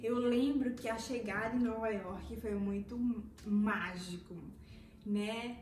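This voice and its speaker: The speech has ordinary pitch variation, with audible room echo and light background noise. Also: woman. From Recife, Pernambuco, Brazil. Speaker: former au pair, vlogger. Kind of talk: casual talk to camera, personal story. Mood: warm, animated storytelling. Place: home room. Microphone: phone near.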